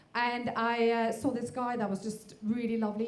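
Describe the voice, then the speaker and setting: A woman's fairly high-pitched voice, dark and mellow in tone, with audible room echo. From Norway. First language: Norwegian. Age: 40s. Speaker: stand-up comedian. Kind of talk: stand-up. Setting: stage with audience. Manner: hesitant, many fillers.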